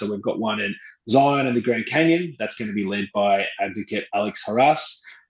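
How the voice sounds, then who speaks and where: An Australian accent comes through. The speaker is a man. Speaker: travel company executive. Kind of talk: interview. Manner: hesitant, many fillers.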